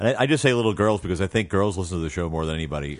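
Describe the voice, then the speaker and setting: A man's very deep, low voice with lively intonation, against noticeable background noise. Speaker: comedian and voice actor. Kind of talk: casual chat, interview. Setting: studio. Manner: announcer-style radio voice.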